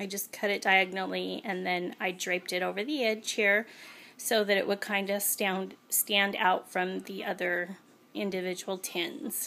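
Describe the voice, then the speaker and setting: She uses a raspy, put-on character voice at a medium pitch. Her intonation is fairly even and her pace moderate. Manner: nervous.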